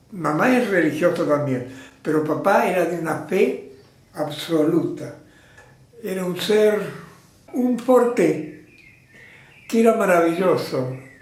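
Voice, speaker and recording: With noticeable background noise and audible room echo, the voice moves at a very slow pace with long, frequent pauses and lively intonation. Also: man, high pitch for a man. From Argentina, Mercedes (Buenos Aires province). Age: 80s+. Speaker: theatre teacher being honored. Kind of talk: interview reminiscence.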